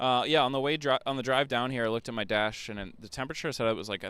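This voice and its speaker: With an American accent, a man talks at a very fast pace and medium pitch, using ordinary pitch variation. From US Northeast. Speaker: livestream host. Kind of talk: live commentary. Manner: slurred, sounds drunk.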